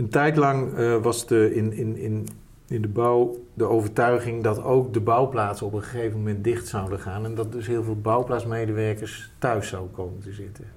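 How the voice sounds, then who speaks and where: At a moderate pace and medium pitch, a man talks in a monotone, flat way, with audible room echo. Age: 50s. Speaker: tech entrepreneur. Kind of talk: interview. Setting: office. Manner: halting.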